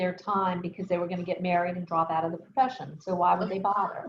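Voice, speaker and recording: Her voice somewhat breathy, a woman speaks at a medium pitch with fairly even intonation. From US South, New Orleans. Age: 60s. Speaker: architect. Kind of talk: interview on video call.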